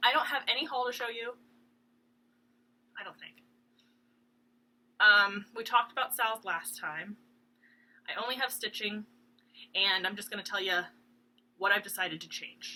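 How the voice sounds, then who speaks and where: A woman with a fairly high, bright, sharp voice speaks at a moderate pace, with big swings in loudness and long, frequent pauses. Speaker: cross stitch video blogger. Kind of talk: casual chat. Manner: rambling with many ums and hesitations.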